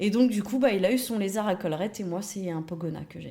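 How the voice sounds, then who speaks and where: Noticeable background noise behind a woman's moderately paced speech, its pitch varying in an ordinary way. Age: 30s. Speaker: early childhood educator. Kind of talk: interview. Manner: hesitant with many fillers.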